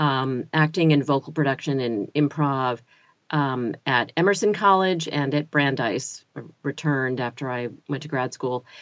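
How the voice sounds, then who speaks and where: A woman speaks at a fairly slow pace. Her very deep, low voice has ordinary pitch variation. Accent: American. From US South, North Carolina (Chapel Hill). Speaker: audiobook narrator and narration coach. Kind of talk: casual interview chat.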